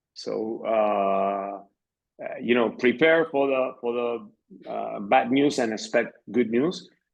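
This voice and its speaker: Speaking at a very slow pace, a man talks with a Spanish accent. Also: medium pitch for a man, ordinary pitch variation. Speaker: arena general manager. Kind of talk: interview. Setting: podcast. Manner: halting, many fillers.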